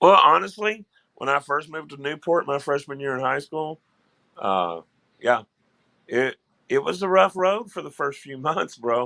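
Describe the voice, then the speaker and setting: Speaking at a moderate pace with long, frequent pauses, a man in a Southern accent uses a bright, sharp tone and lively intonation, his loudness swinging widely in a dry, close sound with no echo. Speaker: live stream co-host. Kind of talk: casual chat.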